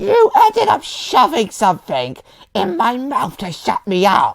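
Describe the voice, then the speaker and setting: This is a put-on character voice with a raspy sound. It moves at a fairly slow pace. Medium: machinima.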